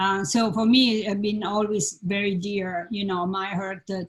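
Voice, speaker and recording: A somewhat breathy woman speaks with a strong Italian accent and fairly even intonation. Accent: Italian accent, heavy. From Italy, Florence. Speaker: design professor, panel moderator. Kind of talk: panel discussion. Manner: halting.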